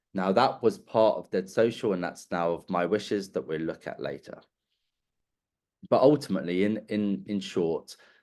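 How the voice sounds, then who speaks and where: This man has an ordinary speaking voice at a fairly low pitch. He talks at a moderate pace with ordinary pitch variation. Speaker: webinar presenter on digital legacy. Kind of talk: webinar presentation. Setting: online webinar.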